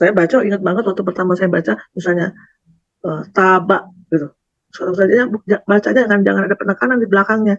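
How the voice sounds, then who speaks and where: The speaker talks at a very fast pace with a West Javanese accent. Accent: Sundanese. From Sundanese, West Java. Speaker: Quran reading student. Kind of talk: testimony. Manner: halting.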